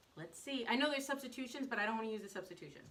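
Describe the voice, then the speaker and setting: A woman with a high pitch projects a raised voice with lively intonation, amid noticeable background noise and audible room echo. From US South. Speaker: baker and cake artist. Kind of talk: live baking stream. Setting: home kitchen, live on social media. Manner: fast; casual, chatty.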